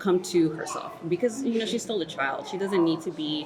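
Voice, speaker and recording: With an American accent and ordinary pitch variation, a woman speaks over noticeable background noise. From Texas, Dallas. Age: 30s. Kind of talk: interview answer.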